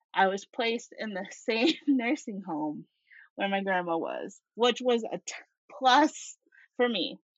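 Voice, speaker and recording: With an American accent, the speech rises and falls in a lively way. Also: woman, fairly high pitch for a woman, fairly slow pace. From US Northeast (Syracuse, upstate New York). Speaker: certified nursing assistant. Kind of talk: casual chat.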